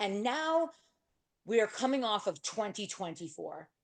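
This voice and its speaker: Loud and animated, a woman speaks at a fairly slow pace. Her medium-pitched voice moves through very wide pitch swings. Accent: American. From New York. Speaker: real estate agent and speaker. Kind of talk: workshop talk.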